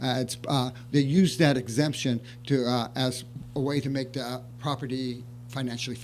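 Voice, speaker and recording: A man speaks at a medium pitch in a flat, monotone delivery, with audible echo from the room. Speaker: city housing staff member. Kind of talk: staff report at council meeting. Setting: city council meeting. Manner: soft-spoken; halting, many fillers. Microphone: too quiet, mic less sensitive.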